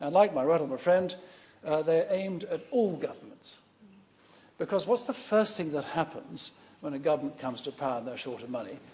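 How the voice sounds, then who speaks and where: This man talks at a fairly quick pace in a high voice that swings very widely in pitch. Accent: British. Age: 60s. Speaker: member of parliament, army veteran. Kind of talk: parliamentary debate speech. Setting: parliament chamber.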